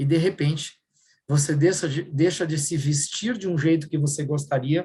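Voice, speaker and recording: A somewhat breathy man talks at a moderate pace. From southern Brazil, Rio Grande do Sul. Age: 50s. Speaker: workshop speaker. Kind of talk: workshop talk.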